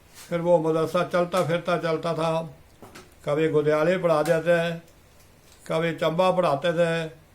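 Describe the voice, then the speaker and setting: A man with a high pitch speaks in a monotone, flat way, leaving long, frequent pauses amid noticeable background noise. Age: 80s+. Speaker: Islamic cleric and madrasa teacher. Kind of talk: interview answer.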